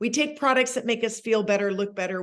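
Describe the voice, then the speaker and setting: The woman's pitch varies in an ordinary way. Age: 60s. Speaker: network marketing leader. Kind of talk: sales presentation on a call. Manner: enthusiastic.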